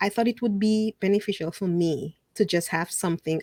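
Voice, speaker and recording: A woman with a non-native accent, ordinary pitch variation and a moderate pace, in a dry, close sound with no echo on a very clean recording with a silent background. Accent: foreign. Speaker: media host and speaker. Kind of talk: interview conversation.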